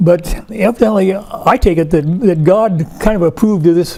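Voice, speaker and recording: With an American accent, a man speaks at a high pitch and a moderate pace, with ordinary pitch variation. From Oregon. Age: 80s+. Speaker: local historian, board member. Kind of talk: oral history interview. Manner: halting.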